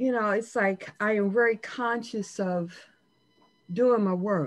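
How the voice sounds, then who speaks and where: The background is quiet as a woman with a fairly high voice speaks very slowly. Her pitch varies in an ordinary way and her loudness stays very even. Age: 60s. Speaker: participant in a spiritual circle. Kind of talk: casual chat.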